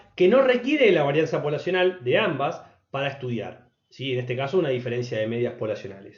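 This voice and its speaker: A speaker with very wide pitch swings talks at a fairly quick pace, with audible room echo. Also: man. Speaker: statistics teacher. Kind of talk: lecture. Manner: fast.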